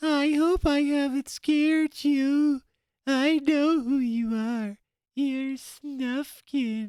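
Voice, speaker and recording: Putting on a character voice, a man speaks at a very slow pace in an extremely high pitch. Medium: read story. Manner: shy, eager.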